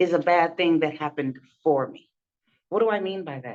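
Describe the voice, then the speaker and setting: A woman speaks at a fairly low pitch. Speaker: business coach. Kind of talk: podcast interview host.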